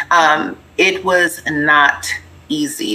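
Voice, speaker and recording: There is noticeable background noise behind the speaker. She is a woman with a fairly low pitch and an American accent. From US West Coast, Pasadena area, California. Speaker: business owner and author. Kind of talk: interview.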